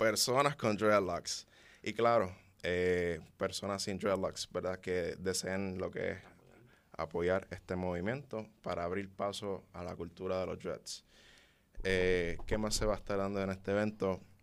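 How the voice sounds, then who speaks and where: This man's very deep, low voice moves at a fairly slow pace with fairly even intonation. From Puerto Rico. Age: 20s. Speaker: loctician. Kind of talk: interview.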